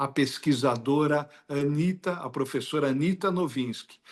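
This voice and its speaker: A man speaks with a Brazilian accent. His pace is fairly slow. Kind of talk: interview.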